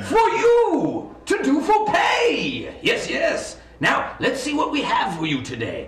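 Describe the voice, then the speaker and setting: In a put-on character voice, a man speaks fairly slowly at an extremely high pitch, with a slight echo. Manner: hearty, salesman-like, exclamatory.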